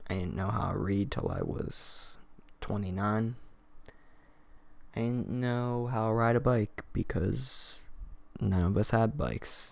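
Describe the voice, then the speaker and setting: With an American accent, a man speaks at a very slow pace and medium pitch, his intonation fairly even. Room echo is audible. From Kentucky, US. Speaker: YouTuber. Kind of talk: confessional vlog monologue.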